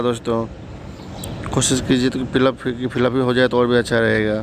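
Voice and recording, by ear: Against faint background noise, a man talks at a fairly quick pace in a medium pitch.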